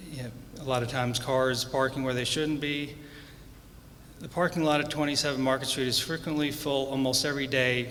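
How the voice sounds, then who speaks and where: Soft-spoken man at medium pitch, fairly quick pace and monotone, flat intonation, with noticeable background noise and audible room echo. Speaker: property owner speaking at public comment. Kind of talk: public comment with slides. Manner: halting.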